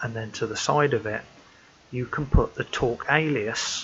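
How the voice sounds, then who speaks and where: A soft-spoken man with a British accent, medium pitch, fairly even intonation and a fairly slow pace. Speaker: amateur radio hobbyist. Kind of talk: tutorial. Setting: at home.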